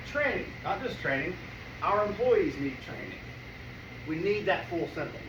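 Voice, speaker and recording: Very wide pitch swings and long, frequent pauses, with audible room echo and noticeable background noise. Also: man, high pitch for a man, moderate pace. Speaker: business networking presenter. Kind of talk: presentation to a live meeting.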